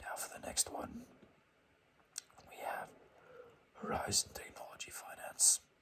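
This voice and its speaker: Someone whispers with long, frequent pauses. Noticeable background noise runs underneath. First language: not English. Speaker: ASMR finance video creator. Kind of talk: casual stock review talk. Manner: halting, many fillers.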